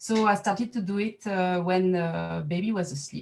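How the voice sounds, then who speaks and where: A woman speaks at a fairly slow pace in a French accent, her voice medium in pitch. She sounds somewhat breathy, with ordinary pitch variation. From France. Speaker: artist and set designer. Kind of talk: artist talk at online exhibition reception. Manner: halting, many fillers.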